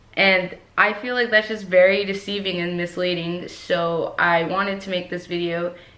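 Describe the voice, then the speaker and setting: In an American accent, a woman of medium pitch speaks at a fairly slow pace with ordinary pitch variation and audible room echo. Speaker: YouTuber. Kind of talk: vlog. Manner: slower than usual.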